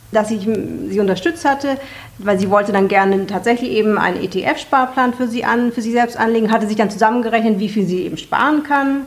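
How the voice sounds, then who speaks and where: Talking at a fairly quick pace, a woman has an unremarkable speaking voice, fairly high in pitch, with ordinary pitch variation. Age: 40s. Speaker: personal finance platform founder. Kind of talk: interview.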